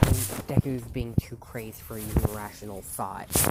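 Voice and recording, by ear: The intonation holds fairly even. Words are read aloud in a natural voice.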